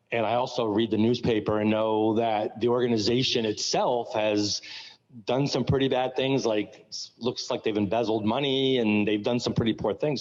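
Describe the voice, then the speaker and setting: Moderately paced, a man with an American accent speaks at a medium pitch in a monotone, flat intonation. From New York. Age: 60s. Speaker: school board member. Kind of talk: public meeting comment. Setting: school gym meeting. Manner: halting, with repeated words and fillers.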